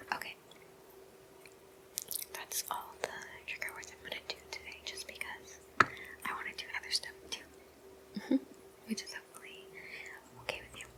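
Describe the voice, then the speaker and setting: Over noticeable background noise comes whispering at a moderate pace, broken by long, frequent pauses. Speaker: ASMR content creator. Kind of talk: ASMR trigger video, casual talk to camera. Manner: casual, friendly, chatty.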